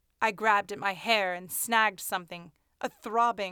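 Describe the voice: Against a quiet background, the clip is plain reading aloud with fairly even intonation.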